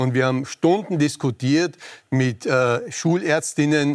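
A man with a fairly high pitch uses a normal speaking voice and ordinary pitch variation. The recording is very clean with a silent background, dry and close with no echo. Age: 60s. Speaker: infectious disease specialist. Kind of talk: TV panel debate.

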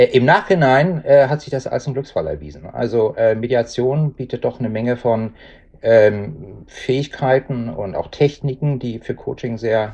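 Lively in intonation, a man talks at a moderate pace and medium pitch, his dark, mellow tone carrying vocal fry. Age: 60s. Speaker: retiree working as a coach. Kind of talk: interview. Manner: halting.

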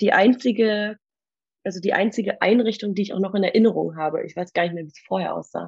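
A woman's voice is fairly high in pitch and somewhat breathy. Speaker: old school friend standing in as co-host. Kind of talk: casual chat; reading aloud an old diary.

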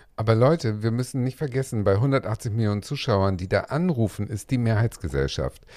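A man's medium-pitched voice, dark and mellow in tone, moves at a moderate pace with lively intonation on a very clean recording with a silent background. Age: 40s. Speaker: podcast co-host. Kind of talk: casual chat. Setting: dressing room full of costumes.

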